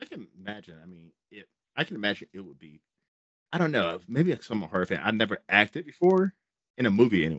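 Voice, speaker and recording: Talking at a very fast pace, a man with a fairly low voice swings widely in pitch and loudness, and the sound is dry with no echo. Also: quiet background. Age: 40s. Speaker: horror channel interviewer; podcast host interviewer. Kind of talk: casual interview. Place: home room. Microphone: studio mic.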